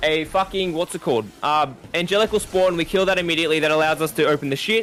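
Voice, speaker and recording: Talking at a very fast pace, a man with high pitch shows ordinary pitch variation. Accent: Australian. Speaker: gamer teaching a raid. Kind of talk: tutorial. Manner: stuttering today.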